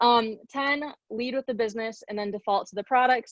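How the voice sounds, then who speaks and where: A woman talks in a fairly high pitch, her pitch variation ordinary. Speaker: network marketing team leader. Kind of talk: training presentation. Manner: fast.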